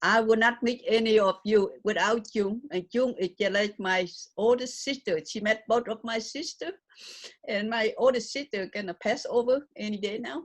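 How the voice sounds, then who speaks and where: This woman speaks at a moderate pace with a fairly high pitch. Her pitch varies in an ordinary way. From Vietnam. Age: 70s. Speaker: memoirist and humanitarian. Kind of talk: interview. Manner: loud.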